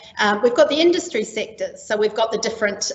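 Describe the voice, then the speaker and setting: Noticeable background noise sits behind a woman speaking at a fairly high pitch in a New Zealand accent. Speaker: training and skills specialist. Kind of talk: webinar presentation. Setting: online webinar. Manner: frequent filler ums.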